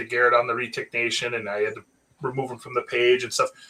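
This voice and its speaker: Bright, sharp tone from a man, fairly quick in pace, with lively intonation. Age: 40s. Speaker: reptile breeder, retic keeper. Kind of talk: casual chat.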